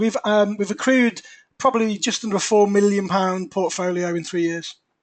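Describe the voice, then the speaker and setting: This man has a high-pitched voice and speaks with an English accent. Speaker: property investor. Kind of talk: webinar presentation. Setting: webinar. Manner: quiet.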